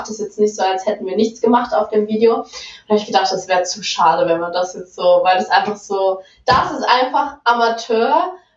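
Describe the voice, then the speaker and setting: Fairly quick speech from a woman amid noticeable background noise. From Saxony-Anhalt, Germany. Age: 20s. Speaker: adult webcam performer. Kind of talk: casual interview.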